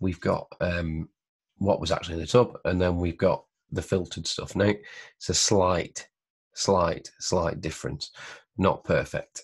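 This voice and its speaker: The background is quiet here. A man talks, his voice somewhat breathy. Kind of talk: tutorial. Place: home room. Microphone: webcam.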